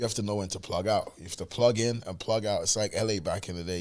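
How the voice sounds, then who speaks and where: On a very clean recording with a silent background, a man with a London accent speaks at a very fast pace, fairly low in pitch and with fairly even intonation. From South London, England. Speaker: music manager. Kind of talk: casual interview chat.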